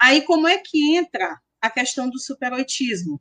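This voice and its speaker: A woman's high voice with very wide pitch swings at a fairly slow pace, dry and close with no echo. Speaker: history professor and researcher. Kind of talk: interview.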